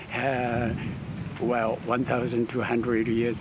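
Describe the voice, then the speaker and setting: Noticeable background noise and audible room echo accompany a man speaking fairly slowly at a medium pitch. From Japan, Kumano area of Kii Peninsula. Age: 80s+. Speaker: local resident. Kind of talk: impromptu talk to visitors. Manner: halting.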